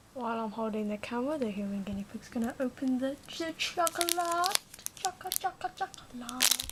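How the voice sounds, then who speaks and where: Soft-spoken and high-pitched, a woman talks at a moderate pace with very wide pitch swings over noticeable background noise. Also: long, frequent pauses. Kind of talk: ASMR unboxing talk to camera.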